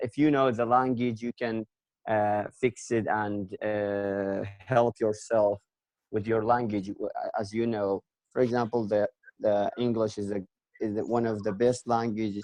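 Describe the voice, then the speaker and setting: A man speaks in a Kurdish accent at a fairly slow pace. His intonation is monotone and flat. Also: dry, close sound with no echo. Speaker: English language learner. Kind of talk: conversation practice discussion. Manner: halting, many fillers.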